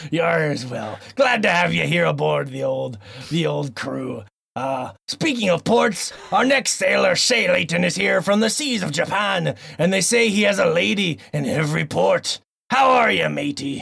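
At a moderate pace, a put-on character voice carries the lines. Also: man, fairly high pitch for a man. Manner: hearty, playful.

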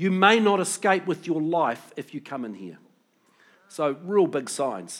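A man with a New Zealand accent, high-pitched, with lively intonation and a fairly slow pace. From New Zealand (Pukekohe, Auckland). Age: 50s. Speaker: pastor. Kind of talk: sermon.

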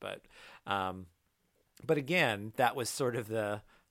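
Heard in a very clean recording with a silent background, a man with a plain, everyday voice speaks at a moderate pace with a fairly low pitch and ordinary pitch variation. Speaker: podcast host. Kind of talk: casual chat.

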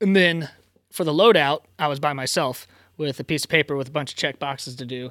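In a very clean recording with a silent background and a dry, close sound with no echo, a man with a plain, everyday voice and an American accent speaks at a fairly quick pace, a fairly high pitch and ordinary pitch variation. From Virginia, US. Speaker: theater stage carpenter and automation technician. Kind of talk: casual chat.

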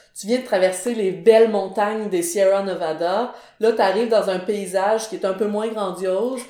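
A woman speaks at a medium pitch with fairly even intonation. Audible room echo and noticeable background noise surround her. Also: moderate pace. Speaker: graphic designer and illustrator. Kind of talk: podcast interview.

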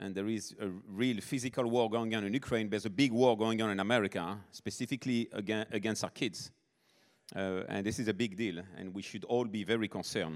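On a very clean recording with a silent background, a man talks at a fairly quick pace in a fairly low pitch. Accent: French. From southern France, Nice. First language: French. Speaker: missionary. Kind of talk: sermon.

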